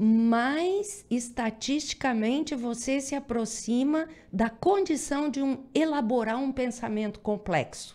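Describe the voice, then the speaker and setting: A woman's high-pitched voice with lively intonation at a very slow pace, over a quiet background. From southern Brazil. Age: 60s. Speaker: professor. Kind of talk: radio interview.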